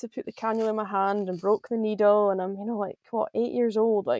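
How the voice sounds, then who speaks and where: A woman speaks with a Scottish Highland accent, her voice fairly high-pitched with a dark, mellow tone. The sound is dry and close, with no echo. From Scotland, Highlands. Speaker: professional golfer. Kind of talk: podcast interview.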